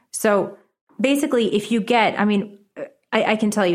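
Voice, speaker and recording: The recording is very clean, with a silent background. Pitch varies in an ordinary way at a moderate pace. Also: woman. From Connecticut and New York City. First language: Japanese. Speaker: author, education advocate. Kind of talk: interview.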